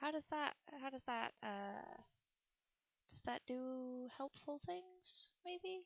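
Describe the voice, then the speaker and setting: A soft-spoken woman talks at a very slow pace in a high voice with lively intonation. She leaves long, frequent pauses, and the sound is dry and close with no echo. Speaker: video game streamer. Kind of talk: casual live-stream chat. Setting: live stream at home.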